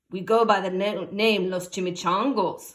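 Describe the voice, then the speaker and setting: Growling in a put-on character voice, a woman speaks at a medium pitch and a moderate pace with fairly even intonation. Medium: read story. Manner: gruff, growling.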